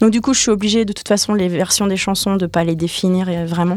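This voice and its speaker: A woman speaks with fairly even intonation. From France, Brittany area. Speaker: singer-songwriter and violinist. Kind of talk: radio interview. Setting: radio studio. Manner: casual, hesitant.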